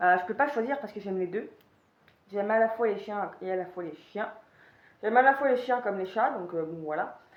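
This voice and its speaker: A woman at medium pitch, fairly quick yet with long, frequent pauses, ordinary pitch variation, audible room echo. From Paris region, France. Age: 20s. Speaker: YouTuber. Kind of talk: casual Q&A monologue. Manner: hesitant, many fillers.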